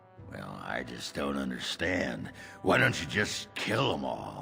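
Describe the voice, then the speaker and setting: Clear music plays in the background as a man speaks slowly in a raspy, cartoonish character voice at a fairly slow pace. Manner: gruff, crude.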